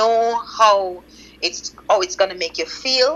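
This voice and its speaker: The speaker has a Jamaican accent, very wide pitch swings and a fairly slow pace. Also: woman. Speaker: loc stylist. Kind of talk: interview.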